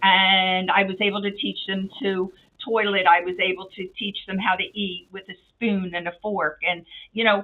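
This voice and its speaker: An energetic woman of medium pitch with a slight Philadelphia accent talks at a moderate pace, her loudness swinging widely. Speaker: nonprofit CEO. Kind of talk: interview.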